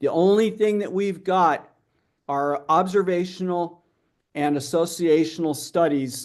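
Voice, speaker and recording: At a fairly slow pace, a man with a high pitch speaks with ordinary pitch variation. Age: 60s. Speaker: researcher and health coach. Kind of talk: conference Q&A. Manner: hesitant, many fillers.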